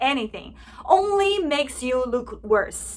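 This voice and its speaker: A woman with a Chinese accent, high in pitch, with very wide pitch swings and a fairly slow pace. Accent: Mandarin Chinese accent in English. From China. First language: Mandarin Chinese. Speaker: political commentary vlogger. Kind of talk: opinion vlog monologue.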